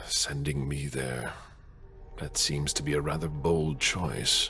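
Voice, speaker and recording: Put-on character voice from a man, with clear background noise. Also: fairly slow pace. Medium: video game.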